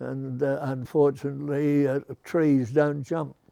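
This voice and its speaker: His pace is very slow. The man has a dark, mellow tone and fairly even intonation. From Australia. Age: 80s+. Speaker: car builder; war veteran. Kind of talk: interview answer.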